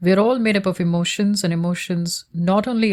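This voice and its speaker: A woman speaks with a Tamil accent and a somewhat breathy voice. Her intonation is fairly even, and the recording is very clean with a silent background. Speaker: researcher. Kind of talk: reading aloud. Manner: formal.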